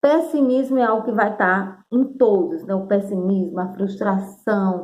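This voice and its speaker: This woman has an ordinary speaking voice, a medium pitch, lively intonation and a fairly slow pace. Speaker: teacher. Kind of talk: video lesson.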